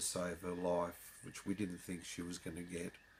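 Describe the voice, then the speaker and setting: The recording is very clean, with a silent background. A man with an Australian accent speaks at a very deep, low pitch. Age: 60s. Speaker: convert sharing his story. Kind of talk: personal testimony. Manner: halting, many fillers.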